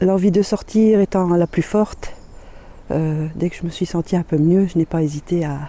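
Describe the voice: A woman's voice at a moderate pace, with a dark, mellow tone, fairly low pitch and fairly even intonation.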